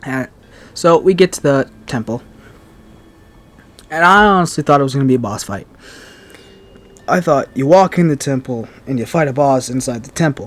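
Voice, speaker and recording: Over noticeable background noise, a man with a fairly high pitch and ordinary pitch variation speaks with long, frequent pauses. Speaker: gaming YouTuber. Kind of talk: unscripted gameplay commentary. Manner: fast; casual, halting. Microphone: new mic.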